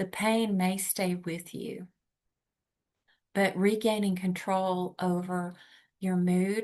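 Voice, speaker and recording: Over a quiet background, a woman at medium pitch speaks at a very slow pace. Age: 60s. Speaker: workshop leader. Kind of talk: workshop facilitation; guided relaxation exercise. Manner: hesitant, many fillers.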